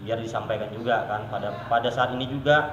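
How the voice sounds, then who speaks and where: A man with a South Kalimantan accent talks in a fairly even intonation. Background noise is noticeable, and the room echo is audible. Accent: Banjar. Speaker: village official. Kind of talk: interview. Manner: halting.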